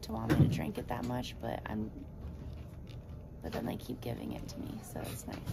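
A woman talks at a moderate speed while loud noise fills the background. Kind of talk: casual vlog chat. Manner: weak, drowsy post-surgery patient voice. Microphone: phone near.

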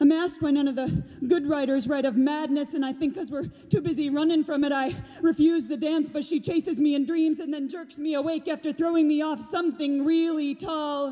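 Dramatic and intense, a woman talks at a fairly quick pace in a high pitch with fairly even intonation. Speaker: slam poet. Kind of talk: spoken-word poetry performance. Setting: theater stage with audience. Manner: intense, emphatic, rhythmic, urgent delivery; dramatic, building to defiant, rallying peaks. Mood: raw, emotional. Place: stage. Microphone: studio mic.

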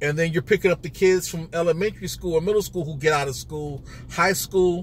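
A somewhat breathy voice with ordinary pitch variation. The sound is dry with no echo, over light background noise. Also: man. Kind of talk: casual vlog commentary. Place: car. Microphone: phone near.

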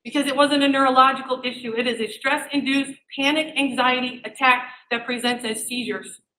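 A woman speaks at a fairly quick pace in a raised, projected voice that is high-pitched, bright and sharp in tone. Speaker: parent speaking at public comment. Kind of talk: public comment at school board meeting. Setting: public meeting room without microphone. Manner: loud; animated.

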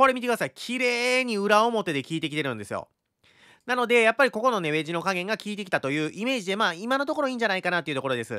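A raised, projected voice with a bright, sharp tone, very wide pitch swings and a very fast pace, dry with no echo over a quiet background. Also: man, high pitch for a man. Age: 30s. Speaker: crypto chart analyst YouTuber. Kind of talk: market analysis tutorial. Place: home room. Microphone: studio mic.

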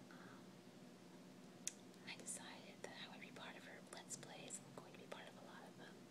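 A woman talks through loud background noise. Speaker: ASMR channel host. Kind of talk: ASMR whisper preview talking to camera. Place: home room. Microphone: phone near.

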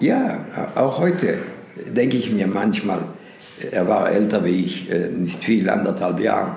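The speaker talks at a very slow pace with lively intonation. Background noise is noticeable. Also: man, fairly low pitch for a man. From Lithuania. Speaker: Holocaust survivor, eyewitness. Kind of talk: interview answer.

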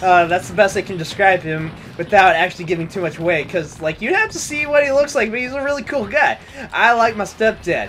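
Over noticeable background noise, a man speaks at a high pitch with lively intonation. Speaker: gaming youtuber. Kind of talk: drunken co-op let's play chat. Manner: animated, rambling with fillers.

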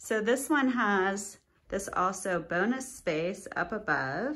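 The intonation is lively. The speaker is a woman. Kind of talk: property tour commentary. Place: home room. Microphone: phone near.

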